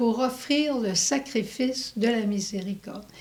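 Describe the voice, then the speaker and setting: Speaking very slowly with an English accent, a woman uses a high voice and lively intonation. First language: English (speaking French). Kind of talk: religious testimony.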